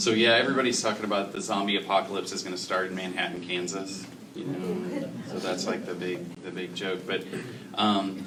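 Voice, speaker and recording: Through audible room echo and noticeable background noise, a man with a very deep, low pitch speaks at a fairly quick pace with fairly even intonation. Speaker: healthcare representative on a panel. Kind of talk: panel discussion. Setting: public forum in a library. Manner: loud.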